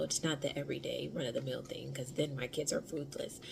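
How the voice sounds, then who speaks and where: A woman's quiet voice with a very deep, low pitch, over noticeable background noise. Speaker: vlogger, stay-at-home mom. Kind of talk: casual vlog. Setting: at home. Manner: quiet, speaking low.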